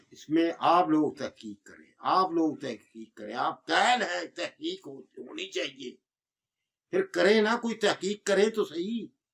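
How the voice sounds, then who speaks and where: A man speaks at a high pitch with very wide pitch swings. His loudness swings a lot too. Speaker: herbal medicine teacher. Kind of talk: lecture. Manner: forceful.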